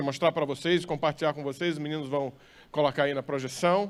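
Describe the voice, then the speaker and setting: A man with a northeastern Brazilian accent is heard in a very clean recording with a silent background. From northern Brazil, Maranhão. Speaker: pastor. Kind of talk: sermon.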